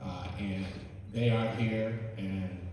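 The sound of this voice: Amid strong room echo, a man with a fairly low, slightly mellow voice speaks slowly with fairly even intonation.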